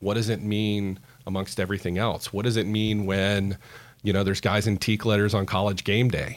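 A man with an American accent speaks at a moderate pace and a fairly low pitch. The recording is very clean, with a silent background. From Central Florida. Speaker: fraternity leader. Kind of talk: interview.

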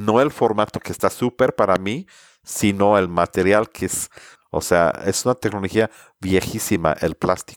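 A man with an English accent speaks fairly slowly at a fairly low pitch with ordinary variation, in a very clean recording with a silent background and a dry, close sound with no echo. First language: English (speaking Spanish). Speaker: sustainability consultant. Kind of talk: interview.

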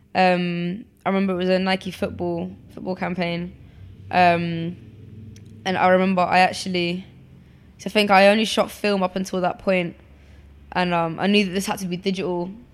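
A woman with a London accent speaks at a moderate pace in monotone, flat intonation, with long, frequent pauses. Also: medium pitch for a woman. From England, London (born in Poland). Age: 20s. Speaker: photographer. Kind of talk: interview.

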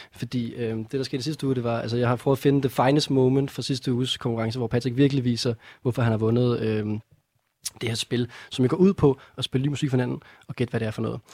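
A man delivers his words at a very fast pace in a dark, mellow tone with fairly even intonation, the sound dry and close with no echo. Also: medium pitch for a man. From North Zealand, Denmark. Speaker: radio music quiz host. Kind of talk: casual chat. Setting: studio.

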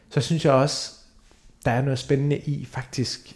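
The voice is somewhat breathy. It belongs to a man speaking at a medium pitch. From Denmark, grew up near Aarhus (Hørning). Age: 30s. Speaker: theatre director. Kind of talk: interview.

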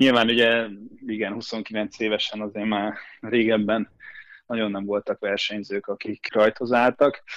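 This man talks at medium pitch and a fairly slow pace. His intonation is monotone and flat. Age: 20s. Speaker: swimmer. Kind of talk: interview.

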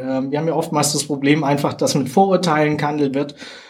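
The man's voice is fairly high in pitch, with ordinary pitch variation. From southern Germany. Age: 40s. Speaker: soldier and games ambassador. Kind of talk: interview.

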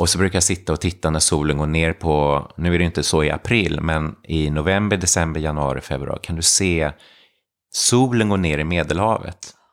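A man speaks with a very deep, low pitch and ordinary pitch variation at a moderate pace. The recording is very clean, with a silent background. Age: 50s. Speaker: yoga teacher and retreat owner. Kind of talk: casual interview.

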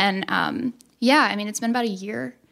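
Here is a woman with an American accent and a plain, everyday voice. Her pitch is fairly high with ordinary variation, and her pace is fairly quick. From Texas. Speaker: podcast guest. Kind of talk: casual chat.

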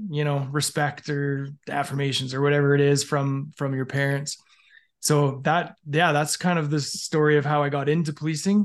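Against a quiet background, a man with a western Canadian accent speaks at a fairly high pitch in monotone, flat intonation. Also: moderate pace. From Canada, Alberta. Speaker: former police officer. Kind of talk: casual interview. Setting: video call.

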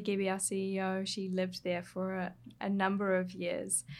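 A woman at a medium pitch, with a New Zealand accent and a moderate pace. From New Zealand, Hawke's Bay. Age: 20s. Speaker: skincare brand copywriter and writer. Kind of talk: interview.

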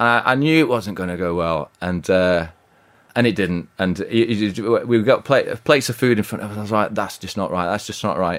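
In a West Yorkshire accent, a man talks fairly quickly with lively intonation. His pitch is fairly low, and the recording is very clean with a silent background. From Yorkshire, Bradford/Halifax. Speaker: restaurant co-founder. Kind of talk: interview. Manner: halting.

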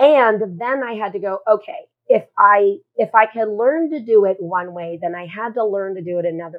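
A woman's normal speaking voice at medium pitch, with lively intonation, big swings in loudness and a moderate pace. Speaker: love coach. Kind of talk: interview, personal story.

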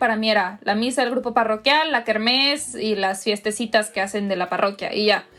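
A woman's pitch rises and falls in an ordinary way while noticeable noise runs in the background. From Monterrey, northern Mexico. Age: 20s. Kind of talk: interview.

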